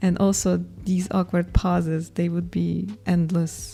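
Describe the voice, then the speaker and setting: Over music in the background, a woman with a non-native accent speaks at a fairly slow pace. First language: not English. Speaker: artist and video creator. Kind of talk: casual vlog voiceover. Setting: home studio room, alone. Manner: hesitant, with pauses edited out.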